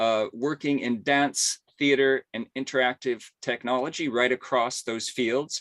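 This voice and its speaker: A man with a plain, everyday voice speaks at medium pitch, fairly slowly and with hardly any pauses. His intonation is fairly even, and the sound is dry and close with no echo against a quiet background. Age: 60s. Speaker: symposium host. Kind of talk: webinar introduction. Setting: video call.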